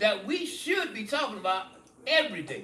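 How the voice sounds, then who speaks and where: A man in a raised, projected voice talks at a fairly slow pace with very wide pitch swings over noticeable background noise. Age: 80s+. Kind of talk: interview answer.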